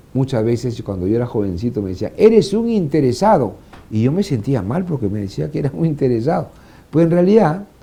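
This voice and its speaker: A man talks at a moderate pace with a fairly high pitch and a dark, mellow tone. His pitch swings very widely. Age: 60s. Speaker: former congressional administrator. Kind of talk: interview.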